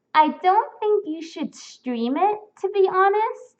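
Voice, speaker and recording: Very slowly, a woman with an American accent speaks with lively intonation. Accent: sounds very American. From Spain. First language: Spanish. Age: 20s. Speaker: fursuit streamer. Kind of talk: live stream chat reading comments. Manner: casual, filler-heavy.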